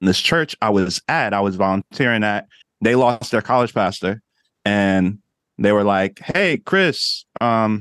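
A man with an American accent speaks at a fairly low pitch and a moderate pace in a normal speaking voice, the sound dry and close with no echo over a quiet background. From New Jersey. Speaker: life coach, former minister. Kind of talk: casual interview chat.

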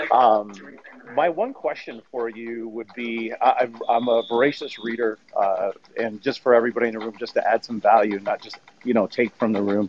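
Fairly even intonation marks a man's medium-pitched voice, heard against noticeable background noise. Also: moderate pace, big swings in loudness. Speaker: caller. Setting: airport.

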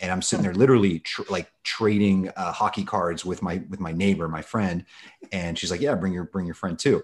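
In a quiet background, a man with an American accent speaks at a very deep, low pitch and a fairly quick pace, his intonation fairly even. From Los Angeles, US (Russian-born). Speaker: fantasy baseball analyst. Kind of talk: casual interview.

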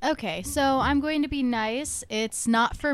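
A normal speaking voice with ordinary pitch variation at a fairly slow pace, in a very clean recording with a silent background. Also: woman. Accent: American. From Toledo, Ohio. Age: 20s. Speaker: comedian. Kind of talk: casual chat.

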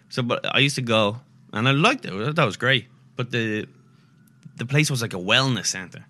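A man with an Irish accent and a bright, sharp tone, medium pitch, ordinary pitch variation, a fairly quick pace and long, frequent pauses. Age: 30s. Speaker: comedian. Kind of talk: casual chat.

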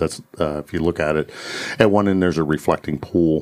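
Noticeable background noise is present throughout. Over it, a man talks at a fairly quick pace. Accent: American. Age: 50s. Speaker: police officer and podcast co-host. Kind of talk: casual chat.

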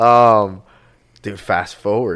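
A man speaks with an American accent. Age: 20s. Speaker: realtor. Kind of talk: casual chat. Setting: studio.

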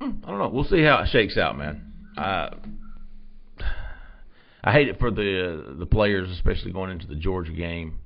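A man with a very deep, low voice and vocal fry speaks at a moderate pace, his intonation lively, his loudness swinging widely, and long pauses breaking up his speech often. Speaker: recruiting editor and show host. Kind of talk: casual sports talk show chat. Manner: casual, upbeat, chatty.

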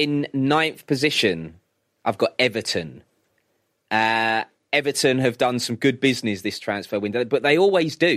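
In a plain, everyday voice, a man speaks at a moderate pace and medium pitch with lively intonation, on a very clean recording with a silent background. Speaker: radio sports presenter. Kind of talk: casual chat.

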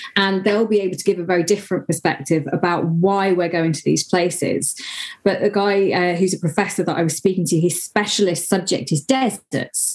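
Fairly quick pace and ordinary pitch variation in an ordinary speaking voice. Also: woman, fairly low pitch for a woman. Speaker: motorsport presenter and commentator. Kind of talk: casual chat.

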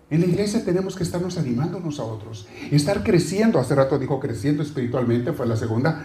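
A man with a fairly high pitch, very wide pitch swings and a very fast pace, over noticeable background noise. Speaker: preacher. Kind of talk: sermon. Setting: church. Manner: animated, exhorting, conversational with the congregation; asks questions and addresses listeners directly.

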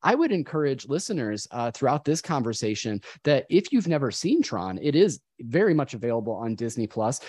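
A man's dark, mellow tone at a moderate pace, dry and close with no echo, over a quiet background. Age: 30s. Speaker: podcast host. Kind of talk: casual chat.

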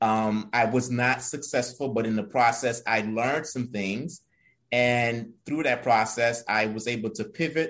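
In a normal speaking voice, a man talks fairly slowly at medium pitch with fairly even intonation. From immigrant to the US from another country. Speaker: entrepreneur and executive director. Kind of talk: interview podcast.

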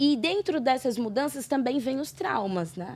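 The voice of a woman is high-pitched with lively intonation and a dark, mellow tone. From Brazil. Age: 30s. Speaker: podcast guest. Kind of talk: casual interview.

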